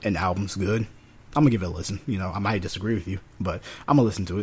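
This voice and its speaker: In an American accent, a man talks with a very deep, low pitch, fairly even intonation and a somewhat breathy sound. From North Carolina. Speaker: podcast co-host, music reviewer. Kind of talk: casual chat.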